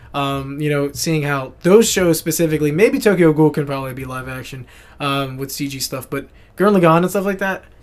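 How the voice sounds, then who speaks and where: A plain, everyday voice from a man with an American accent, fairly high pitch, ordinary pitch variation and a fairly quick pace. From United States. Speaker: podcast co-host, animation student. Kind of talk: casual chat.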